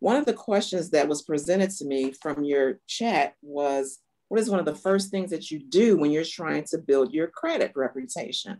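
A woman with an American accent speaks at a moderate pace with lively intonation. Her voice has a dark, mellow tone and a very deep, low pitch. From US Midwest. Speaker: bank vice president. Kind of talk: webinar presentation. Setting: video call. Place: office. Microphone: webcam.

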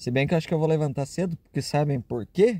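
A man's somewhat breathy voice with a dark, mellow tone, fairly high pitch and ordinary pitch variation, over a quiet background, dry with no echo. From Caxias do Sul, Rio Grande do Sul, Brazil. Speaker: travel vlogger. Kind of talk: casual vlog narration. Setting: outdoors and in a car. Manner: animated.

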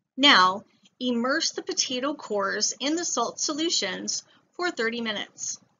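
A woman's high-pitched voice at a fairly slow pace, full of very wide pitch swings. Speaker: science educator. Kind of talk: tutorial.

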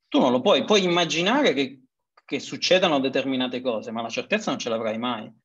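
Speaking at a fairly quick pace with lively intonation, a man uses a normal speaking voice pitched fairly high. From Sicily (Messina area). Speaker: consultant, webinar host. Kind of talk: webinar moderation. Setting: video call.

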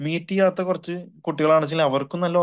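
A man's fairly high-pitched, an unremarkable speaking voice with fairly even intonation against a quiet background. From Kerala. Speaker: education consultant. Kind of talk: webinar Q&A. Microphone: video call.

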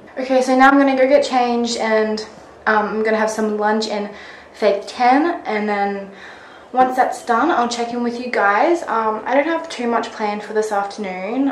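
A woman talks at a moderate pace with ordinary pitch variation, with audible room echo and light background noise in the recording. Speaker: vlogger. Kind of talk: casual vlog chat. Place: home room. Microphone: phone near.

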